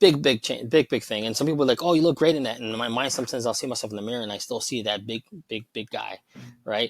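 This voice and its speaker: A man with a Chicago accent speaks very fast at a medium pitch, with ordinary pitch variation and a dry, close sound with no echo. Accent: Chicago American English. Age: 40s. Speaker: cybersecurity professional sharing weight loss story. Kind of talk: casual interview chat. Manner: halting, with many restarts.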